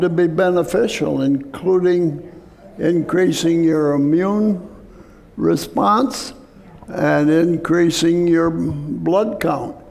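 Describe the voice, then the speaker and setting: Speaking at a very slow pace, a man uses a high pitch with ordinary pitch variation and very even loudness. Noticeable background noise runs underneath. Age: 80s+. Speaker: physician and health lecturer. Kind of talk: health talk to church audience.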